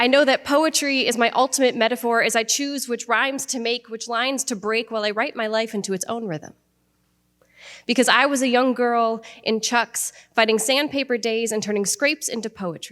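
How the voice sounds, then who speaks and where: Speaking at a moderate pace with an American accent, a woman with a plain, everyday voice and a fairly high pitch keeps her intonation fairly even on a very clean recording with a silent background. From Iowa, USA. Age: young. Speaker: spoken word poet. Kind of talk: spoken word poetry performance.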